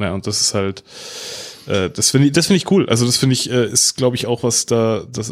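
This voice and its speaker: A normal speaking voice from a man, moderately paced and medium in pitch. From Bavaria. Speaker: podcast co-host. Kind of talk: casual chat.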